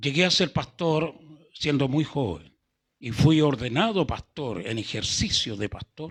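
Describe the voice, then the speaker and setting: Against a quiet background, a man with a fairly high voice speaks very slowly through very wide pitch swings. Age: 70s. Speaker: pastor. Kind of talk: sermon. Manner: calm.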